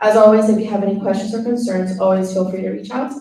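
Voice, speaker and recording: A woman speaks at a medium pitch in a Spanish accent. Her intonation is fairly even, and the room echo is audible. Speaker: student government officer. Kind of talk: meeting report. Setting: meeting room, live streamed. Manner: reading prepared report.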